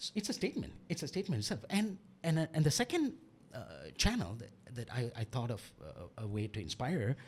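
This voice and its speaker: His pitch swings very widely as a man speaks at a fairly quick pace in a somewhat breathy voice. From Malaysia. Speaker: author and English teacher. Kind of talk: interview. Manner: halting.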